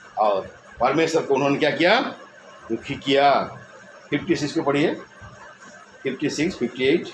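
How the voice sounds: With lively intonation and a medium pitch, a man speaks amid audible room echo. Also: moderate pace.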